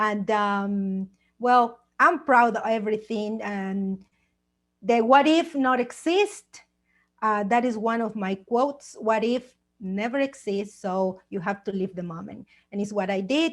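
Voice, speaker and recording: Her pitch fairly high and varying in an ordinary way, a woman with a Mexican accent speaks at a fairly slow pace. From Mexico. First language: Spanish. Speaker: author and TV producer. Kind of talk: personal testimony. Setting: video call.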